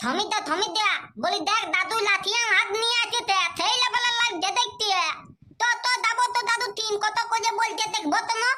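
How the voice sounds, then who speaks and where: An extremely high-pitched, cartoonish character voice. It moves at a moderate pace. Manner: eager, naive.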